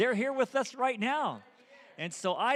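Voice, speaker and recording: With lively intonation, a man is talking. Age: 60s. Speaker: visiting church leader. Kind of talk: sermon. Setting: church. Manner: halting.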